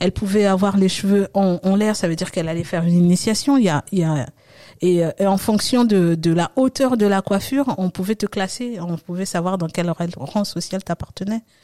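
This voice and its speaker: On a very clean, dry and close recording with a silent background and no echo, a woman of medium pitch speaks at a moderate pace with a dark, mellow tone and ordinary pitch variation. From Congo-Brazzaville and France (Oise region). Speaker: hairstylist. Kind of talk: interview. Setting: studio.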